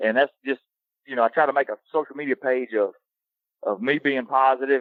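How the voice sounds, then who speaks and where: A man of medium pitch with a Southern US accent. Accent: Southern drawl. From US South. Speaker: hunting social media personality. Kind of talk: casual interview chat. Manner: animated.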